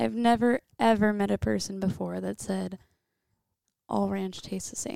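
A woman speaks at a moderate pace with a Midwestern US accent. The sound is dry and close, with no echo. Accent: US Midwest. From Iowa, Oskaloosa. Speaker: podcast guest, host's girlfriend. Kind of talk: casual chat. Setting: home office.

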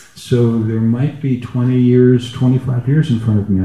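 The voice is somewhat breathy with a dark, mellow tone, moving at a very slow pace. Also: man. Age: 60s. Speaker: retired gong musician, participant. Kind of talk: personal sharing in group session. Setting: live event with audience and roving mic.

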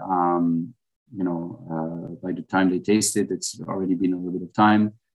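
Moderate-paced speech in a French accent, with fairly even intonation. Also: man. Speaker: restaurant owner. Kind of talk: casual interview over lunch. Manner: halting, with fillers and repeats.

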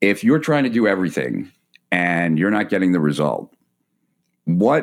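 Over a silent background in a very clean recording, a man speaks with a very deep, low pitch and vocal fry. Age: 40s. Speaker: entrepreneur and marketer. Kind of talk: casual interview. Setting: host's home.

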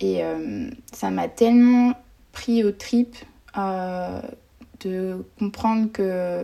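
A woman's voice carries a dark, mellow tone. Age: 20s. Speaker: student and nonprofit founder. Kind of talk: casual interview.

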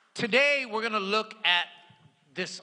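The intonation is lively and full of movement. The voice is raised and projected. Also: man. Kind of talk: sermon. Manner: animated, call-and-response preaching with rhythmic repetition and emphatic exhortation; playful, mixing humor and rhetorical questions with congregation.

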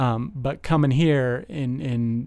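With an American accent, a man speaks in a dark, mellow tone. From Las Vegas, US. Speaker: detox supervisor in addiction treatment, in recovery. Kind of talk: casual chat.

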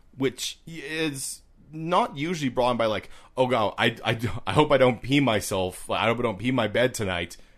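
Over a quiet background, a man speaks at a moderate pace and medium pitch with lively intonation. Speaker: podcast co-host. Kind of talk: casual chat. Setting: outdoors at a picnic table. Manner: loud.

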